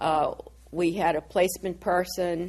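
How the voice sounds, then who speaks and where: In an American accent, a woman with a fairly low pitch speaks at a very slow pace in a monotone, flat intonation. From Massachusetts. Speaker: retired college dean. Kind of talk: oral history interview. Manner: casual, halting.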